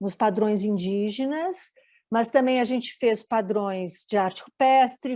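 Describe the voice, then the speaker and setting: Against a quiet background, a woman speaks in a fairly high pitch. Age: 60s. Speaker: designer and documentary maker. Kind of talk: panel talk, live stream presentation.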